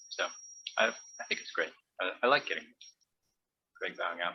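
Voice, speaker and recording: Here a man speaks at a moderate pace. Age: 60s. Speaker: dharma practice group member. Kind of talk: group sharing discussion. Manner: halting, many fillers and restarts.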